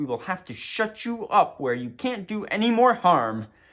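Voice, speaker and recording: A man puts on a character voice with a high pitch. It swings very widely in pitch at a moderate pace. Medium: read story. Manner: loud, hurried.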